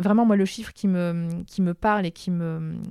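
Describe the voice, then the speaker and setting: In a very clean recording with a silent background and a dry, close sound with no echo, a woman with a dark, mellow tone and fairly low pitch speaks at a fairly slow pace with fairly even intonation. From France, Paris suburbs. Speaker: communications executive. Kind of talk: interview. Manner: halting.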